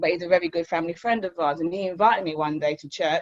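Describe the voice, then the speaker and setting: A woman talks very fast in a fairly low pitch for a woman. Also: dry, close sound with no echo. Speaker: recovery centre co-founder. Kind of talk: testimony.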